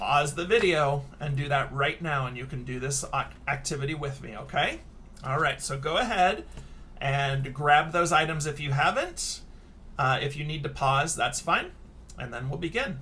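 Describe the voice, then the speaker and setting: With audible room echo around him, a man speaks at a moderate pace in a bright, sharp tone, his fairly high voice showing ordinary pitch variation. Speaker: elementary school teacher. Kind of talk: tutorial. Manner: casual.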